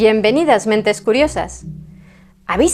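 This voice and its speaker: A woman's dark, mellow voice, with vocal fry, moves through very wide pitch swings. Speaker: history documentary narrator. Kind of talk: documentary narration.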